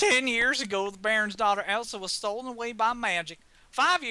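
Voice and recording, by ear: Natural-voiced reading aloud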